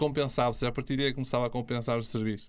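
A man speaks against a quiet background. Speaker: investment youtuber. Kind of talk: casual interview chat. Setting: studio. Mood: calm, explanatory. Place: studio. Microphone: studio mic.

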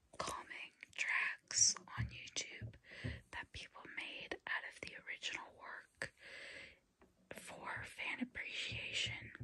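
A whisper at a very slow pace, with long, frequent pauses and big swings in loudness. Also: woman. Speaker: ASMR creator and hobbyist keyboard learner. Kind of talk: ASMR ramble to camera. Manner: whispered, soft-spoken, slow. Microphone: phone near.

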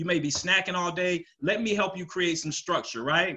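Bright and sharp in tone, a man speaks at a fairly quick pace in a high pitch. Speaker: telecom business owner and sales speaker. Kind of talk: webinar presentation. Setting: video call. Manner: animated, casual. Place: home room.

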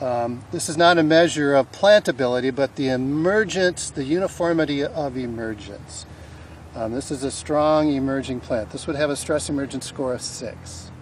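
Over light background noise, a man speaks at a moderate pace with ordinary pitch variation, the sound dry with no echo. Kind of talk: field tutorial explanation. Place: farm machine.

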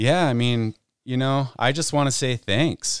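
A man with an American accent speaks at a fairly slow pace with ordinary pitch variation, in a plain, everyday voice. The recording is very clean, dry and close, with a silent background and no echo. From Utah. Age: 40s. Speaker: pro snowboarder. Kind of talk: casual chat. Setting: studio.

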